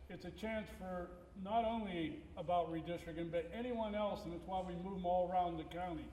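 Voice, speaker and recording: A man's high-pitched voice at a fairly quick pace with fairly even intonation, noticeable background noise and audible room echo. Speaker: school board president. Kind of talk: town hall meeting remarks. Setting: public meeting with audience.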